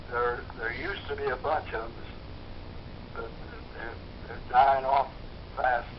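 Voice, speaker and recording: A man's fairly slow speech with long, frequent pauses and big swings in loudness, amid noticeable background noise and audible room echo. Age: 90s. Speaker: war veteran. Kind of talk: interview. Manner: halting.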